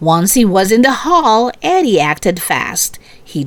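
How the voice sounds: The clip features a natural reading voice.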